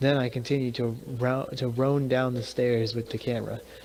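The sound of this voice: Simply an unforced reading voice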